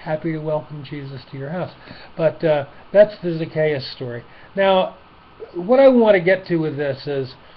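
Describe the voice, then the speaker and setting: A man's fairly high voice at a moderate pace, ordinary in pitch variation, with big swings in loudness and noticeable background noise. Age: old. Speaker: retired man giving life advice. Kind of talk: informal Bible talk. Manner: hesitant, many fillers and restarts.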